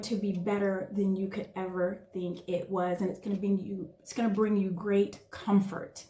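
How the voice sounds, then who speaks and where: Noticeable background noise is present throughout. Through it, a woman talks at a moderate pace. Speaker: tarot reader. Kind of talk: tarot reading.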